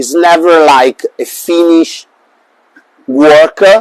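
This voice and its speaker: A man with an Italian accent and a fairly high pitch speaks in a dry, close sound with no echo. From Italy. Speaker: bonsai artist. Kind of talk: interview. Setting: live stream. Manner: hesitant, many fillers.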